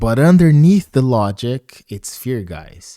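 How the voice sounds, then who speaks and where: A man speaks at a medium pitch in a dark, mellow tone, his pitch swinging very widely at a fairly slow pace. The recording is very clean with a silent background, and the sound is dry and close with no echo. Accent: non-native. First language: not English. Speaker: motivational speaker. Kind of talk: motivational talk. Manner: repetitive, conversational.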